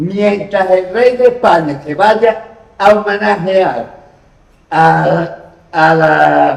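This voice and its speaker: Pitched high, a man speaks at a very slow pace. Room echo is audible. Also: ordinary pitch variation. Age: 60s. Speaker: audience member. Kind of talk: audience discussion. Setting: public hall meeting.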